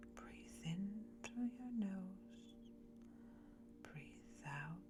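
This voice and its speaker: Music plays in the background while a woman speaks at a very slow pace. Her loudness swings a great deal. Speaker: meditation guide. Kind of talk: guided meditation. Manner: gentle, soft-spoken.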